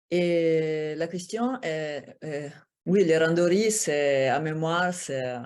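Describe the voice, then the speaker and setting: Someone speaks with an Italian accent. The pitch varies in an ordinary way. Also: woman, quiet background. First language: Italian (speaking French). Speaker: former Olympic judoka and assistant professor. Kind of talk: conference Q&A answer. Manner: halting, searching for words.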